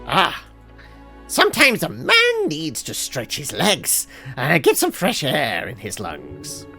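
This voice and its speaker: A man's put-on character voice, raised and projected, fairly high in pitch and fairly slow, with clear music in the background. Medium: game stream. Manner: theatrical, self-important.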